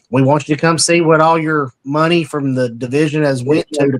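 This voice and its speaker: A man with an East Tennessee accent at a fairly quick pace, fairly even intonation, dry and close with no echo. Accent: Southern US, East Tennessee. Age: 30s. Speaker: heritage group local leader. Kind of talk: interview. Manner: halting with fillers.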